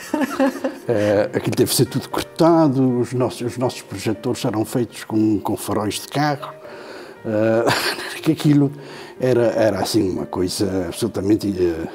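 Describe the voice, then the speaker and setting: A man at a medium pitch and fairly slow pace with ordinary pitch variation, music in the background. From Terceira island, Azores, Portugal. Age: 70s. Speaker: poet. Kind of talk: interview answer. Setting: studio.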